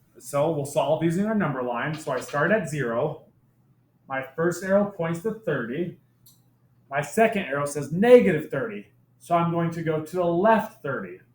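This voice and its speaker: A man with an ordinary speaking voice talks at a moderate pace, his fairly high pitch carried by lively intonation. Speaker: math teacher. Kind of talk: tutorial.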